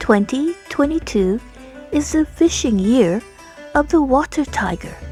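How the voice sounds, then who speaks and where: Music plays behind a woman with a high voice. She speaks at a fairly slow pace with very wide pitch swings. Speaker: gaming video creator. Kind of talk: video game narration.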